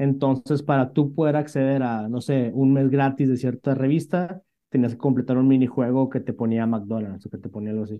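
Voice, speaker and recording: A man with a medium pitch talks at a moderate pace with hardly any pauses. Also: ordinary pitch variation. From northern Mexico, Monterrey. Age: 30s. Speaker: startup CEO. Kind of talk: interview. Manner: halting, many fillers.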